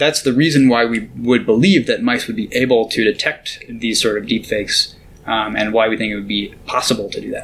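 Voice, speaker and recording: Here is a man with an ordinary speaking voice and a medium pitch. He talks at a fairly quick pace with ordinary pitch variation. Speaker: neuroscientist and grad student. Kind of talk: interview about research, casual explanation.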